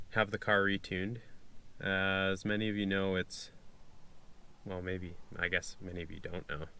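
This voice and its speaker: Monotone, flat delivery broken by long, frequent pauses. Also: man, very deep, low pitch for a man, moderate pace. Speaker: car enthusiast. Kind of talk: casual talk to camera. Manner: hesitant, many fillers.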